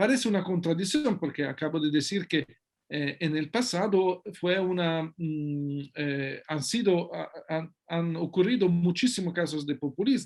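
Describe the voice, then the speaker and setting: Speaking at a fairly slow pace, a man with an Italian accent uses a high pitch and ordinary pitch variation. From Italy. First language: Italian (speaking Spanish). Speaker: sociology researcher and author. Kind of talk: interview. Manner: halting, many fillers and restarts.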